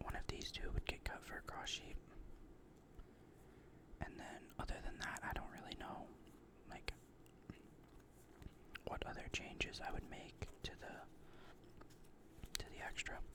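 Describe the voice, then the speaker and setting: A man whispers, with long, frequent pauses. Noticeable background noise runs underneath. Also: fairly slow pace. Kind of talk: ASMR card game deck discussion. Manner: whispered, rambling.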